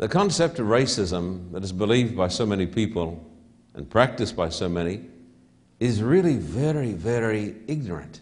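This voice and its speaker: A man speaks in a fairly low pitch. His intonation is lively and his pace moderate. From Australia. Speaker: pastor. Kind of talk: sermon. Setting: church with audience, televised. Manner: emphatic, repetitive.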